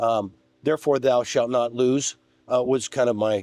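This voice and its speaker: A man speaks in a dark, mellow tone. The sound is dry and close, with no echo. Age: 60s. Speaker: guest on coaching podcast. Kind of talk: casual chat.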